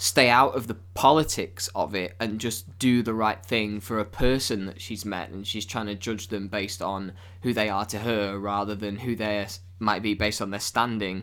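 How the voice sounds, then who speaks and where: A man with a fairly low pitch, moderate pace and fairly even intonation. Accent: British. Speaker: podcast host. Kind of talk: casual chat.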